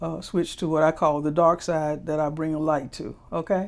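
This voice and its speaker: An American accent at a moderate pace, on a very clean recording with a silent background. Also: woman. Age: 70s. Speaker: political candidate. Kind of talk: interview. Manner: halting.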